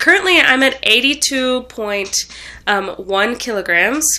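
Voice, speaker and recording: A woman speaks at a very slow pace in a raised, projected voice with a bright, sharp tone. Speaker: vlogger. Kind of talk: casual video diary. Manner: hesitant, many fillers; shaky.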